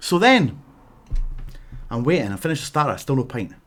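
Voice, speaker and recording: A man with a Scottish accent talks very fast in a fairly high pitch, his tone animated. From Scotland. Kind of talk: comedic rant to camera. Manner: exaggerated, animated.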